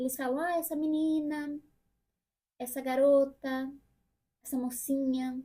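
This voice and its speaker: A woman's high-pitched voice, dark and mellow in tone, at a fairly slow pace. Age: 30s. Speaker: vlogger. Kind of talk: personal vlog monologue. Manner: casual.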